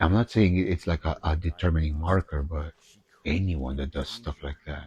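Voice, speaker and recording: A man's very deep, low voice, somewhat breathy, at a moderate pace with ordinary pitch variation, dry and close with no echo, over a quiet background. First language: Spanish. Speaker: gaming streamer with therapy background. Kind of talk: let's play commentary. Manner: animated.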